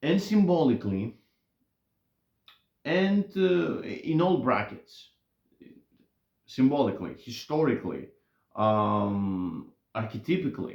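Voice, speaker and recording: Very slow and broken by long, frequent pauses, a man's medium-pitched voice makes very wide pitch swings while keeping a very even loudness. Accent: non-native. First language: not English. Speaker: YouTuber commentator. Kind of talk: casual monologue. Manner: halting, many fillers and restarts.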